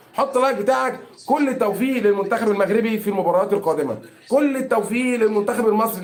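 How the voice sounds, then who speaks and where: Amid noticeable background noise and audible room echo, a man talks at a fairly quick pace in an animated tone, his high-pitched voice showing ordinary pitch variation. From Egypt. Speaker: football commentator streamer. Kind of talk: live stream commentary. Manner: animated, repetitive.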